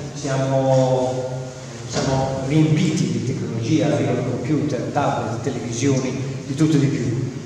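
A fairly slow, monotone, flat delivery with strong room echo and light background noise. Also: man. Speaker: school principal. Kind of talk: welcome speech. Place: hall. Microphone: camera far.

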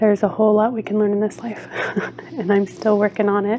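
Light background noise sits under a woman's speech. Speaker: video creator. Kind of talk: casual vlog chat. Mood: warm, friendly. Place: home room. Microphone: phone near.

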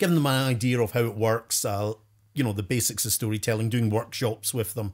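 A man with a Scottish accent speaks at a medium pitch with fairly even intonation, in a very clean recording with a silent background. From Scotland. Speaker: professional storyteller. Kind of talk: interview answer.

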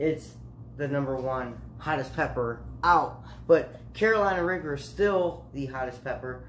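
A man speaks at a fairly slow pace. Light background noise sits behind him. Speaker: vlogger. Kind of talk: casual vlog chat. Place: kitchen. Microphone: phone near.

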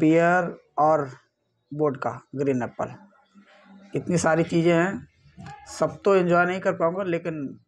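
A man's high voice at a very slow pace with fairly even intonation and long, frequent pauses, faint music in the background. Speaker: drink vlogger. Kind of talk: casual vlog chat. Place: home room. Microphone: lapel.

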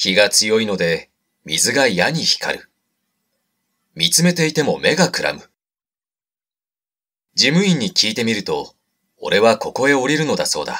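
This man talks at a fairly slow pace, leaving long, frequent pauses. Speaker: actor and narrator. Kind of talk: literary audiobook reading.

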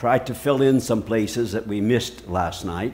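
A very slow, fairly even-toned man's voice at medium pitch, over light background noise. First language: English (speaking Portuguese). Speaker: visiting preacher. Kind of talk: sermon. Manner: short phrases with pauses for interpreter. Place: hall.

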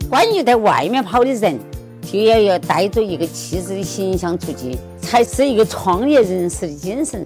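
Clear music sits in the background while a woman speaks at a moderate pace in a medium pitch with lively intonation. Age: 80s+. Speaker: burial plot seller. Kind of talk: interview answer.

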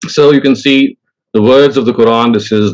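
A man's intonation stays fairly even as he talks over a quiet background. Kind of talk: lecture. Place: home room. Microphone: lapel.

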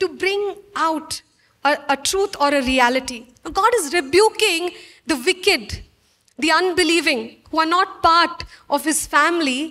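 An extremely high, raised and projected woman's voice, bright and sharp, with ordinary pitch variation over a quiet background. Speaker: church preacher. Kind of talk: sermon. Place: church. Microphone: handheld.

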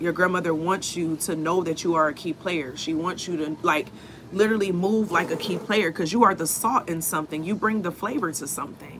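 A woman speaks at a fairly low pitch with ordinary pitch variation. Light background noise can be heard. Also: fairly quick pace. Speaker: spiritual reader. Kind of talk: live stream spiritual message. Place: street. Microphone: phone near.

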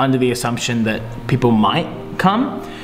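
A man's voice with ordinary pitch variation and faint music in the background. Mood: reflective, a little deflated. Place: office. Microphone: camera far.

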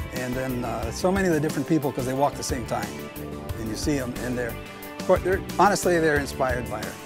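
A man speaks at a very fast pace with clear music in the background. The sound is dry with no echo. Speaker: walking companion of a marathon runner. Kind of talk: interview answer. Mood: warm, admiring. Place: garden. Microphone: lapel.

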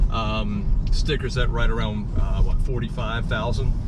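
Loud background noise surrounds a man speaking very slowly. The sound is dry, with no echo. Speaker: car reviewer driving. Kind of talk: car review commentary. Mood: cheerful, joking. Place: car. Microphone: phone near.

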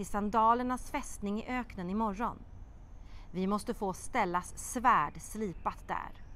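With a fairly high pitch, a woman speaks in a dramatic tone. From Sweden. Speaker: children's TV presenter and writer; TV presenter. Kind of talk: expressive children's audiobook reading aloud, voicing characters. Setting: outdoor courtyard. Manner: lively storytelling cadence with dramatic pauses; animated character voices in dialogue. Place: garden. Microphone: lapel.

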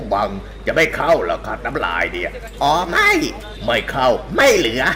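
A man's put-on character voice over clear background music. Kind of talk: comedic parody voice-over. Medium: dub. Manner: crude, rowdy, fast.

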